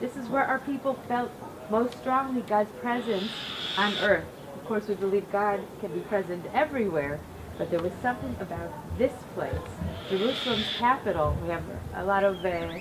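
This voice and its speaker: A woman with an American accent at medium pitch, lively intonation, moderate pace and long, frequent pauses, over noticeable background noise. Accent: American accent, noticeable to Israelis. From US Midwest (Cleveland, Ohio). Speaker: rabbi. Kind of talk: guided tour talk at a ceremony.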